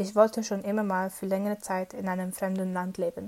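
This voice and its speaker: A woman talks at a moderate pace. Her voice has a dark, mellow tone and a medium pitch. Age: 20s. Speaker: former intern abroad. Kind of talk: personal testimony.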